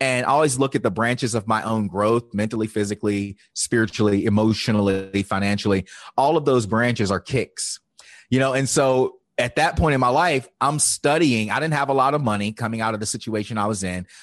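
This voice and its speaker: A man speaks in an ordinary speaking voice at medium pitch. His pitch variation is ordinary, and the background is quiet. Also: fairly quick pace. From Virginia, US South. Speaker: life coach. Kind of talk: interview.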